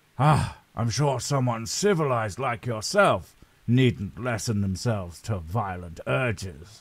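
A very clean, silent-background recording of fairly unhurried speech. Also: man, medium pitch for a man, lively intonation. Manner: flippant, rambling.

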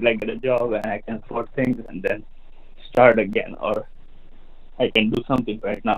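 A man speaks with an Indian accent at a moderate pace. His voice sits at a medium pitch with ordinary pitch variation. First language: not English. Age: 30s. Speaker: caller. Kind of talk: call-in question. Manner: halting, hesitant.

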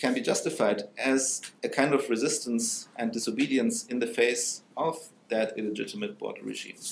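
Moderate-paced speech from a man with ordinary pitch variation, audible room echo and light background noise. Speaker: philosophy professor. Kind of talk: academic panel talk. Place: hall.

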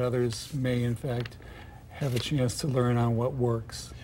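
A moderate pace, with light noise behind it. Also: man. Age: 50s. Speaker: author; interview guest. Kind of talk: TV interview. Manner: halting. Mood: calm, reflective. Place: studio. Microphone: lapel.

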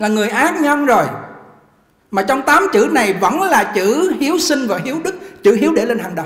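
In a room with audible echo, a man with an extremely high pitch speaks at a moderate pace in an animated tone, his pitch swinging very widely. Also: quiet background. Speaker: Buddhist monk giving a sermon; Buddhist monk teacher. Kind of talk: sermon. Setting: temple hall with live audience. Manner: animated, interactive with audience. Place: hall. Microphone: podium.

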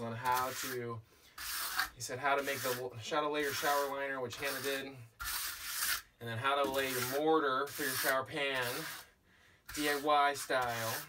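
A man talks at a moderate pace, leaving long, frequent pauses. Noticeable background noise runs underneath. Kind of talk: casual vlog chat. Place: bus. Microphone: camera far.

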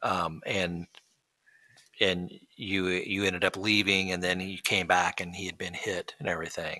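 This man's voice has a very deep, low pitch and a bright, sharp tone, delivered in a flat monotone. The background is quiet. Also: moderate pace. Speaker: podcast host. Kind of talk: interview. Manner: curious, hesitant questioner. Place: studio. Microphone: studio mic.

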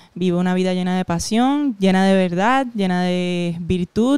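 The background is quiet and the sound is dry with no echo. A woman speaks at medium pitch with a dark, mellow tone. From Puerto Rico. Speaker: comedian. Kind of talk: casual chat. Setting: at her home. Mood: emotional storytelling. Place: home room. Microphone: handheld.

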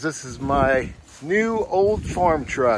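A man speaks with loud background noise behind him. The sound is dry, with no echo. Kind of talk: casual vlog chat. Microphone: phone near.

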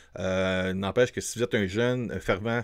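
Against a quiet background, a man with a Quebec accent speaks at a fairly slow pace. His pitch is fairly low, with ordinary variation. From Quebec, Montreal. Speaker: film reviewer YouTuber. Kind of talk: casual film review to camera. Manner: hesitant, many fillers; enthusiastic. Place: studio. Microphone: studio mic.

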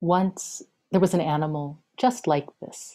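The speaker is a woman. Her voice has a dark, mellow tone. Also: quiet background. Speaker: poet. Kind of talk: poetry reading. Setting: video call. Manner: measured, lyrical, incantatory. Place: home room. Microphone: webcam.

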